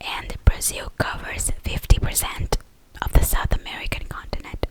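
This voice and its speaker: A woman is whispering at a moderate pace. Noticeable background noise sits behind her. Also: big swings in loudness. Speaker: ASMR creator. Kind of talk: whispered ASMR fact ramble. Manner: whispered, soft-spoken.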